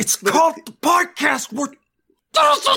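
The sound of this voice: Using a put-on character voice at an extremely high pitch, a man speaks at a moderate pace.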